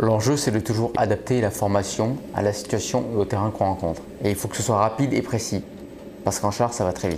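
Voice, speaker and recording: A man at fairly low pitch, fairly quick in pace with fairly even intonation, over noticeable background noise. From France (Brive, Corrèze). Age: 20s. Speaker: army tank platoon lieutenant. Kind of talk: interview testimony (recruitment video).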